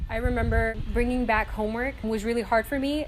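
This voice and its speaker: With a Spanish accent, a woman speaks at a fairly high pitch with fairly even intonation. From North Carolina. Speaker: student. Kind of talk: personal testimony.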